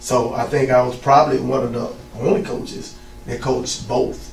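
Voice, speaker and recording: A man with a Southern US accent talks at a moderate pace and a medium pitch, with audible room echo and noticeable background noise. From Mississippi. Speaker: youth football coach. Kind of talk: interview.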